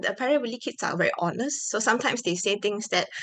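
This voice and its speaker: Bright and sharp in tone, the voice carries a Malaysian accent and ordinary pitch variation. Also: woman. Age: 20s. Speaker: product manager. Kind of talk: conference talk.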